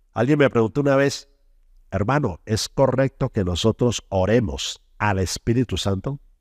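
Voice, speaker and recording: Lively in intonation, a man speaks in a plain, everyday voice at a medium pitch. He goes at a fairly slow pace on a very clean recording with a silent background. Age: 60s. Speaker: preacher. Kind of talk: sermon.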